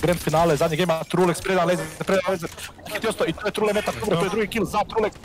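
An animated man with a high pitch speaks over noticeable background noise. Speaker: esports commentator. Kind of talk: sports commentary. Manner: animated, fast play-by-play; excitable, reacting to each kill.

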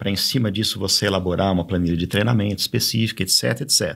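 Against a quiet background, a man with a very deep, low pitch speaks with ordinary pitch variation. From São Paulo state, Brazil. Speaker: cycling official and former cyclist; podcast guest. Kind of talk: casual interview. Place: studio. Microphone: studio mic.

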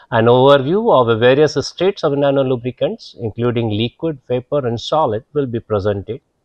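The background is quiet as a man talks fairly quickly. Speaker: lecturer. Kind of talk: lecture. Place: classroom. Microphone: lapel.

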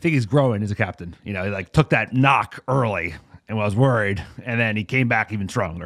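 A man's plain, everyday voice with an American accent, fairly low in pitch with ordinary variation, at a fairly quick pace, in a very clean recording with a silent background. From US East Coast (New Jersey/New York). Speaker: football podcast host. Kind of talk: casual chat.

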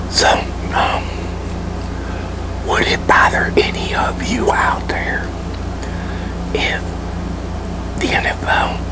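The speaker talks at a very slow pace. Loud background noise runs underneath. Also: man. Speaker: ASMR creator. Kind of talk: ASMR casual talk to camera. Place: kitchen. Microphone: lapel.

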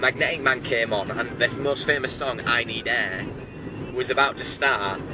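A man speaks in a dry sound with no echo, with noticeable background noise. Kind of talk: casual vlog chat. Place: car. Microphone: phone near.

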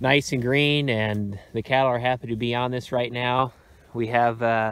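A man's voice with fairly even intonation and a dry sound with no echo. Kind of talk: casual walk-through commentary. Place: open country. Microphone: phone near.

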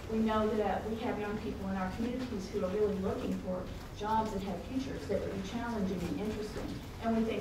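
A woman talking at a very fast pace, with audible room echo and noticeable background noise. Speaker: university IT director. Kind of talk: conference talk. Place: meeting room.

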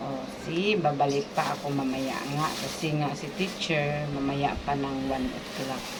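Over loud background noise, a woman with a very deep, low pitch talks at a fairly slow pace with fairly even intonation and hardly any pauses. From Philippines. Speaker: vlogger; store owner vlogger. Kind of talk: vlog narration. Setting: outdoors. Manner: casual. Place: shop. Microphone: phone near.

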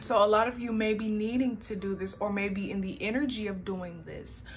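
Faint music plays in the background as a woman speaks. Her pace is moderate and her intonation monotone and flat. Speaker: tarot card reader. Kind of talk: spiritual reading commentary. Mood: calm, warm. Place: home room. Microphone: phone near.

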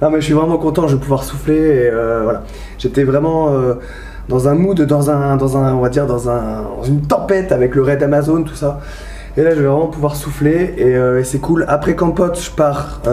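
A man at a moderate pace, with fairly even intonation and audible room echo. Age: 30s. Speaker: vlogger and firefighter. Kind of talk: travel vlog. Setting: outdoors and hotel, handheld camera. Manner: casual, hesitant with fillers. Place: home room. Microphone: phone near.

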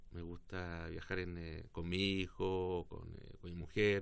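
A man with a very deep, low voice. His intonation is flat and monotone. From southern Chile, Osorno; southern Chile. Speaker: politician. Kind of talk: interview. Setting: studio. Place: studio. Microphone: studio mic.

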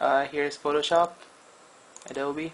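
Light background noise under fairly even intonation. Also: man. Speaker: tech reviewer. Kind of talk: casual talk to camera. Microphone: phone near.

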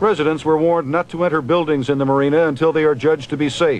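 A man's plain, everyday voice, fairly high in pitch, at a fairly quick pace with ordinary pitch variation. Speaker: TV news reporter. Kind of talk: 1989 TV news report narration. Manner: steady, serious, reportorial.

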